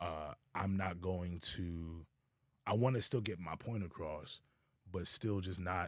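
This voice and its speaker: This man speaks very slowly in a very deep, low pitch, his tone relaxed and his intonation fairly even. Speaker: podcast co-host and preacher. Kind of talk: casual chat. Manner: relaxed, chill; halting, many repetitions.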